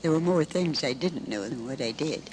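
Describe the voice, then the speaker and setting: Noticeable background noise fills the recording. Through it, a woman's fairly low-pitched voice comes across. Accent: American. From Michigan, Lansing. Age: 80s+. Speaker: elderly witness recounting family history. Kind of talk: interview.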